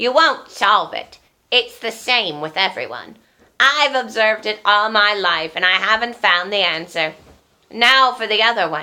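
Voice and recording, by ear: A woman uses a put-on character voice at a fairly high pitch and moderate pace, in a very clean recording with a silent background.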